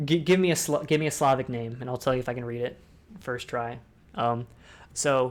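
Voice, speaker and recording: With an American accent, a man speaks at a medium pitch and fairly quick pace. Long, frequent pauses break up his speech. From Ohio, US. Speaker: discord talk host. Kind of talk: casual chat. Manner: fast; animated.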